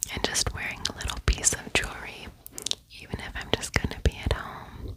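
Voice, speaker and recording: This woman whispers at a moderate speed. Noise is noticeable behind her. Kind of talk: ASMR voice-over. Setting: home, voice-over. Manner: whispered.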